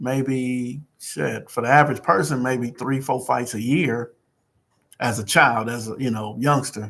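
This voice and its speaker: This man's pitch rises and falls in an ordinary way. His delivery keeps to a moderate pace. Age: 60s. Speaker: community peacemaker livestreamer. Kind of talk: casual livestream talk. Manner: casual, animated.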